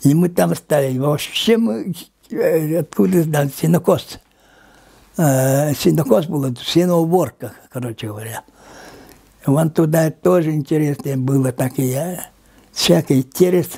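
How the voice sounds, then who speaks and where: A man with a dark, mellow tone and a fairly high pitch speaks at a fairly slow pace. His voice is somewhat breathy, with long, frequent pauses. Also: lively intonation. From Yakutia, Lower Kolyma. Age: 80s+. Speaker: linguist. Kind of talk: interview. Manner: halting.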